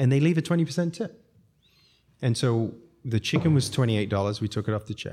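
On a very clean recording with a silent background, a man with a dark, mellow tone talks very fast with lively intonation and long, frequent pauses. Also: medium pitch for a man. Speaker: restaurateur. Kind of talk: casual interview chat.

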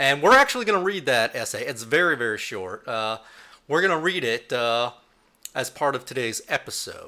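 A man speaks in a bright, sharp tone. His pitch swings very widely. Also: fairly high pitch for a man, moderate pace. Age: 30s. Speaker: podcast host. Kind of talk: casual chat.

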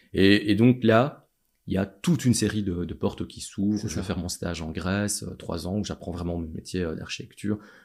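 The recording is very clean, with a silent background. A man speaks at a moderate pace and fairly low pitch with ordinary pitch variation and big swings in loudness. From Belgium, Châtelet (Charleroi area). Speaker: city chief architect. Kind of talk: interview. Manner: halting, many fillers and repetitions.

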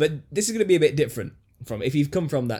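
A man talks at a very fast pace with lively intonation and a somewhat breathy voice. The recording is very clean, with a silent background. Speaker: podcast host and conspiracy YouTuber. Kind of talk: casual chat. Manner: jokey, self-deprecating.

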